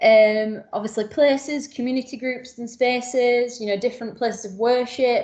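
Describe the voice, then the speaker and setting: This woman has an unremarkable speaking voice, fairly high in pitch. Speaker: community partnership support officer. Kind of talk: workshop presentation.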